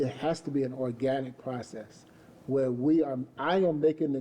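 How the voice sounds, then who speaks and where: Using fairly even intonation, a man talks at a medium pitch in an unremarkable speaking voice. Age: 60s. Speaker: mentor to men. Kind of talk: panel discussion.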